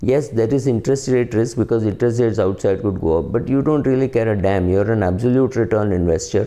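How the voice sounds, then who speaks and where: A man talks at a medium pitch with ordinary pitch variation. His tone is dark and mellow, over a quiet background. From India. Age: 50s. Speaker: personal finance commentator; finance commentator. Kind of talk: solo talk to camera. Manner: hesitant, many fillers. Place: home room. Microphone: phone near.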